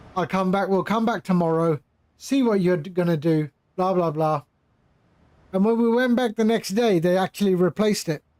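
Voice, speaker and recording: A man with an English accent talks at a moderate pace and a high pitch, with ordinary pitch variation and very even loudness. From England (London). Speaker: flight sim streamer. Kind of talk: live stream chat. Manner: casual, conversational.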